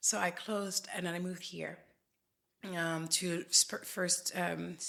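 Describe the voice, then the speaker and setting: A woman's fairly low, bright, sharp voice with vocal fry, monotone flat intonation and a fairly slow pace. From France. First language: French. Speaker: facialist. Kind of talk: interview. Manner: halting.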